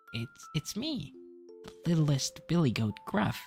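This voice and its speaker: Someone uses a put-on character voice at a middle pitch and a fairly slow pace. Clear music plays in the background. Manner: timid.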